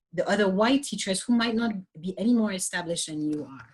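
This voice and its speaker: A woman with a slight French accent, very wide pitch swings, and a somewhat breathy sound. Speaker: yoga teacher. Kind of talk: panel discussion. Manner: halting, many restarts.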